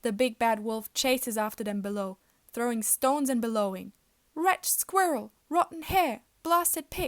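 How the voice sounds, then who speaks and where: At a moderate pace, the voice swings very widely in pitch on a very clean recording with a silent background. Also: woman, high pitch for a woman. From Germany. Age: 20s. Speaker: student teacher. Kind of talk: children's picture book read-aloud.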